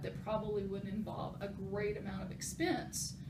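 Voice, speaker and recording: Someone with an American accent speaks at a fairly quick pace, with audible room echo and noticeable background noise. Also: woman. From West Texas. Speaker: nurse presenting a project. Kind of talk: project presentation. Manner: loud; casual, filler-heavy.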